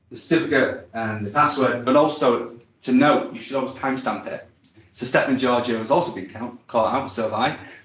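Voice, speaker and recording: Amid audible room echo, a man speaks at a fairly quick pace with fairly even intonation and big swings in loudness. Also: medium pitch for a man. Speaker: IT presenter at user group. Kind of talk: technical presentation with demo. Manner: fast.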